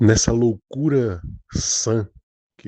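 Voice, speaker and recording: A man's voice with a dark, mellow tone sounds dry and close, with no echo. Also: quiet background. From Brazil, Northeast. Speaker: pastor. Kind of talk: informal religious talk. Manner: halting, many false starts.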